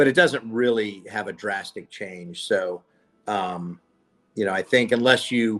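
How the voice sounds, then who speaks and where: A man speaks in a normal speaking voice with a fairly low pitch. His pace is fairly slow, with ordinary pitch variation. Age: 60s. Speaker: voice actor. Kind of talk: interview.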